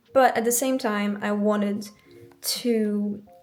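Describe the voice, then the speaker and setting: A woman with a French accent at a very slow pace, with fairly even intonation. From France. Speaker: planner YouTuber, university student. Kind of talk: casual show-and-tell vlog. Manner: hesitant, many fillers.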